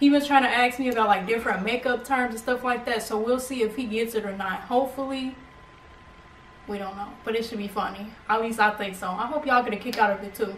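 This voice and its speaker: At a very fast pace, a woman talks in a fairly high voice. There is audible room echo and light background noise. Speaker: beauty YouTuber. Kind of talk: casual talk to camera. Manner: upbeat. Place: home room. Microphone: camera far.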